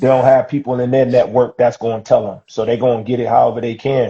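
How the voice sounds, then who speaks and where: Somewhat breathy, a man speaks at a medium pitch with a dark, mellow tone. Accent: New York. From New York City, Harlem. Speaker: livestream guest. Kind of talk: casual chat. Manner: animated.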